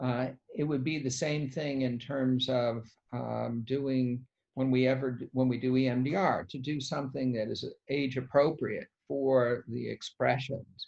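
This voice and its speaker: The pace is very slow. The intonation is monotone and flat. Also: man, medium pitch for a man. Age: 60s. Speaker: psychiatrist. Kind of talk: interview answering questions. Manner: halting.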